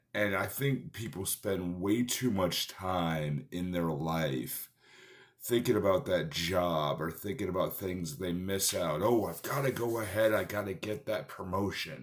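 A man with a very deep, low pitch speaks at a fairly slow pace with lively intonation. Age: 30s. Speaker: podcast host, personal trainer. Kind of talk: motivational talk. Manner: casual, halting with fillers.

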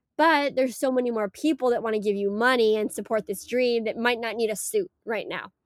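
With hardly any pauses, a woman speaks in a normal speaking voice at a fairly high pitch and a fairly quick pace with ordinary pitch variation, in a very clean recording that has a silent background and a dry, close sound with no echo. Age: 20s. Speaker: startup founder. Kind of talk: interview.

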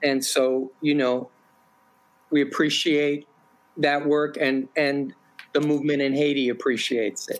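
A man with an American accent talks at a fairly slow pace and a fairly high pitch, his intonation monotone and flat, with long, frequent pauses. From New York. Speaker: activist and teacher. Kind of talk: interview.

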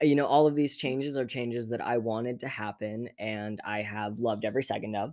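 A man's plain, everyday voice at a medium pitch with fairly even intonation. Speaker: guest. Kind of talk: casual interview chat.

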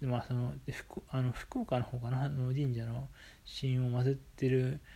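Somewhat breathy with a dark, mellow tone, a man at a medium pitch is captured on a very clean recording with a silent background. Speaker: podcast host. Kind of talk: casual monologue. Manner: hesitant, many fillers.

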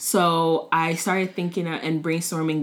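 Heard on a very clean recording with a silent background, a woman with an American accent speaks at a fairly low pitch and a moderate pace. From Maryland, Montgomery County. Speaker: former teacher and food blogger. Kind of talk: casual chat. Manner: hesitant, many fillers.

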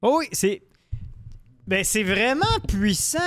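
Speaking fairly slowly, a man with a Quebec accent uses lively intonation. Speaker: podcast co-host. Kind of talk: casual chat. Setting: studio.

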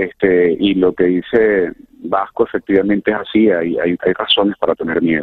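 This man has a fairly low pitch, fairly even intonation and very even loudness. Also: moderate pace. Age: 40s. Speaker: former political prisoner. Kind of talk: testimony. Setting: phone call. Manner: halting.

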